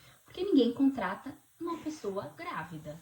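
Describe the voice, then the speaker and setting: A woman speaks over noticeable background noise. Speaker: vlogger. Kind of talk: casual chat.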